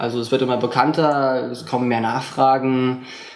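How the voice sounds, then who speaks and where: A flat, monotone delivery at a moderate pace, with audible room echo and noticeable background noise. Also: man. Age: 20s. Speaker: mind reader and mentalist. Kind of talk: interview. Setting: hotel.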